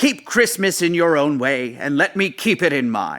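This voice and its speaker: In a put-on character voice, a man speaks high and gruff at a moderate pace, his pitch swinging very widely. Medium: read story. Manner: gruff, scornful.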